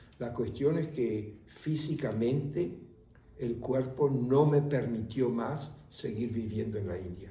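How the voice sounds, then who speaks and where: A man speaks at a very slow pace in a dark, mellow, somewhat breathy tone. His pitch is medium, with ordinary variation. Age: 80s+. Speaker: meditation teacher; voice of Spanish course translations. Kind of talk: interview answer.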